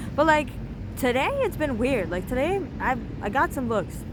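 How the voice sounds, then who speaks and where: At a fairly quick pace and with lively intonation, the voice carries audible room echo and noticeable background noise. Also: woman. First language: not English. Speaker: vlogger. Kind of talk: casual vlog monologue. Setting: outdoors on the street. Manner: rambling, filler-heavy casual speech.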